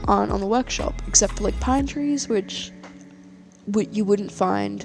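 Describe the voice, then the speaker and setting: The speaker keeps to a moderate pace while music plays behind the voice. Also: woman. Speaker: city-building game creator. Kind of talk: casual gameplay commentary. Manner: hesitant, many fillers.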